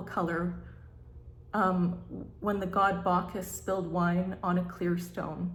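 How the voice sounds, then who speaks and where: The voice stays monotone and flat, with audible vocal fry. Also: woman. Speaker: tarot reader. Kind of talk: tarot reading to camera. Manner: slow.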